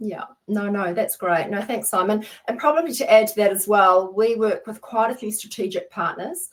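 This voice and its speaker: Here a woman talks with a New Zealand accent at a moderate pace. Her pitch is fairly high, with ordinary variation. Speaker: webinar host, software consultant. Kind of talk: business webinar. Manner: animated.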